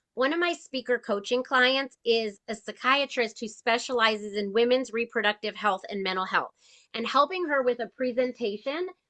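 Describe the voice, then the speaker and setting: A woman's high voice moves at a moderate pace, her pitch varying in an ordinary way. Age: 50s. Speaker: registered dietitian and speaker coach. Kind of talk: casual chat.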